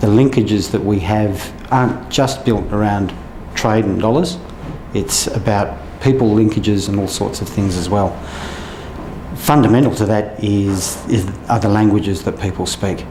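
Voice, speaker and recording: A man with an Australian accent speaks at a moderate pace with a fairly low pitch and ordinary pitch variation. Audible room echo and noticeable background noise accompany him. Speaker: trade official. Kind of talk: interview.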